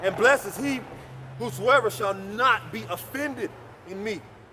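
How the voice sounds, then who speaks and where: A high-pitched man with lively intonation over noticeable background noise. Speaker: street preacher. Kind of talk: sermon. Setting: outdoors. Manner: loud; aggressive.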